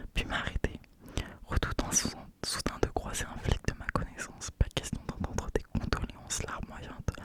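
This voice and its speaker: Whispering at a fairly slow pace, with big swings in loudness and noticeable background noise. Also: woman. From France. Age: 20s. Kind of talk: ASMR novel reading. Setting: home studio, close microphone. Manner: whispered.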